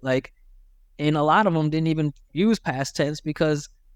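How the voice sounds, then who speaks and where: With an American accent, a man uses an ordinary speaking voice at a fairly high pitch and moderate pace, recorded very cleanly against a silent background with a dry, close sound and no echo. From Michigan, USA. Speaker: accent coach. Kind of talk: interview answer. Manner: casual, conversational.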